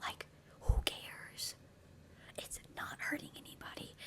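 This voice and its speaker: Whispered speech comes at a moderate pace over noticeable background noise. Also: woman. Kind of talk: ASMR talking to camera, life advice. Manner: whispered, soft-spoken.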